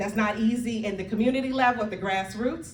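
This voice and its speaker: With audible room echo, a woman talks in a fairly high voice. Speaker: community organizer. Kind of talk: speech to audience. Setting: church hall with live audience. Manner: loud.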